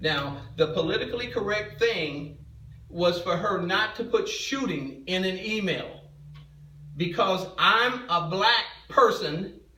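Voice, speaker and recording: Over noticeable background noise and audible room echo, a man uses a raised, projected voice, high-pitched and at a very slow pace. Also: ordinary pitch variation. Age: 60s. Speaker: parent in school dispute. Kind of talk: heated argument. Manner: agitated, interrupting, repeating words.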